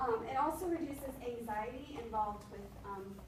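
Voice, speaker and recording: Through noticeable background noise and audible room echo, a woman speaks at a fairly high pitch with ordinary pitch variation. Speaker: education student presenting. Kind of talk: class presentation. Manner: fast.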